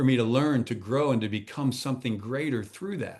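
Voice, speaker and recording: A man's plain, everyday voice at a medium pitch, fairly quick pace, quiet background. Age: 60s. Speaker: transformational coach and speaker. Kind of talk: podcast interview.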